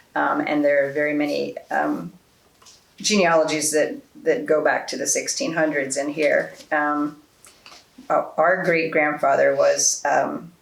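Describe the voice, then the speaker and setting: With an American accent, a woman speaks at a fairly slow pace against noticeable background noise. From New Jersey, Haddonfield. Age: 60s. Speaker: oral history interviewee. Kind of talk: oral history interview. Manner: halting, many fillers.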